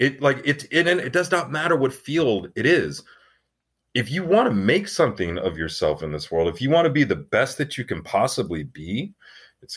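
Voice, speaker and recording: A man with an American accent speaks at a moderate pace and medium pitch, with very wide pitch swings and vocal fry. The recording is very clean, with a silent background. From Arizona (Tucson). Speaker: actor. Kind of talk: casual chat.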